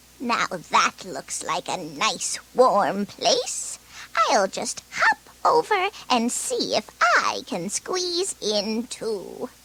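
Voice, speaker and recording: Using a put-on character voice, a woman speaks at a very slow pace in a high pitch. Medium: read story.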